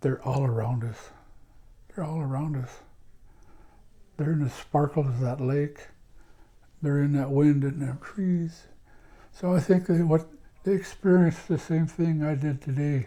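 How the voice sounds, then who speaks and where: Speaking at a fairly slow pace with long, frequent pauses, a man with an American accent has a somewhat breathy voice and a dark, mellow tone. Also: fairly high pitch for a man, ordinary pitch variation. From Washington State, US Pacific Northwest reservation. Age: 60s. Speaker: elder, former addictions counselor. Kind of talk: interview reminiscence. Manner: halting, with frequent repetitions; reflective.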